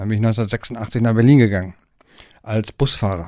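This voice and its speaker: A man's dark, mellow tone at medium pitch, in a very clean recording with a silent background. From Germany, Harz region. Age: 50s. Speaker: tour bus driver and company owner. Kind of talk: interview, storytelling. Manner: casual, many fillers (ja, ne, so).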